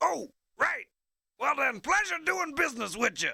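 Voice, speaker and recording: This is a put-on character voice pitched high. It swings very widely in pitch. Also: moderate pace. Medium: video game. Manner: gruff, huckstering.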